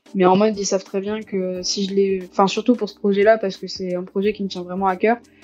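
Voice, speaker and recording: A woman at medium pitch, very fast in pace with hardly any pauses, monotone and flat in intonation, with big swings in loudness. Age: young. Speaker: sociology student and writer. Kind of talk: casual chat.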